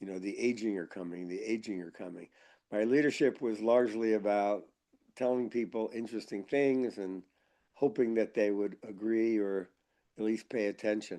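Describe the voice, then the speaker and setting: Fairly even intonation in a dark, mellow tone. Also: man, fairly low pitch for a man, moderate pace. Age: 70s. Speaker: psychologist and gerontologist, author and keynote speaker. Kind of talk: interview answers read from a question list. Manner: conversational, with fillers.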